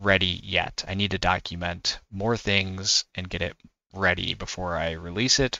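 A man talks at a moderate pace in a very deep, low voice. The sound is dry with no echo, and the background is quiet. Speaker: tech hobbyist creator. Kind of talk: tutorial.

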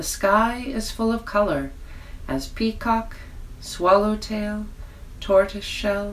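A woman's gentle tone at a very slow pace over noticeable background noise. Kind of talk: fairy-tale narration, reading a children's story aloud. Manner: soft, gentle storyteller's pace with wonder and warmth; animated, sing-song emphasis on exclamations.

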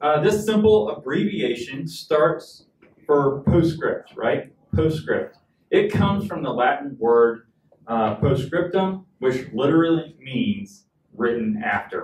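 Over light background noise and audible room echo, a man talks at a very slow pace. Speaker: pastor. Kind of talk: sermon. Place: church.

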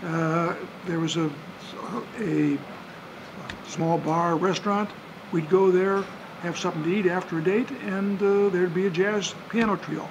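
Pausing long and often, a man with a high pitch talks at a fairly slow pace in a fairly even intonation over noticeable background noise. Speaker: interviewee. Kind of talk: interview answer. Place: bar.

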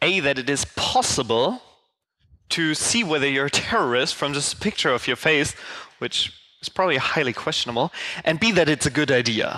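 A man talks at a moderate pace in a bright, sharp tone. The background is quiet. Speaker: conference speaker. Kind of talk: lecture. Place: hall.

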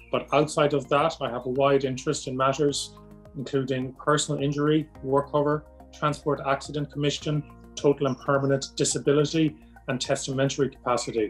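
With an Irish accent, a man speaks at a fairly quick pace in a fairly high pitch and monotone, flat intonation, while faint music plays in the background. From Ireland. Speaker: psychiatrist. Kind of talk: promotional self-introduction. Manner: formal. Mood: calm, measured, formal. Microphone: webcam.

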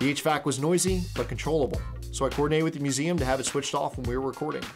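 A man is speaking. Clear music plays behind him. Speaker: presenter. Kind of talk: tutorial. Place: studio.

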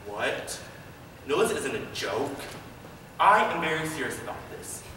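Noticeable background noise runs under the voice. The room echo is audible. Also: man. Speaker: auditioning actor. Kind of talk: audition slate and performed monologues. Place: hall. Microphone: camera far.

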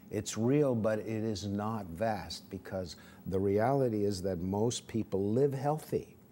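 Over light background noise, a man speaks very slowly in a fairly low, dark, mellow voice with ordinary pitch variation. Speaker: interview guest. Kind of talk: interview answer. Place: studio. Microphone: lapel.

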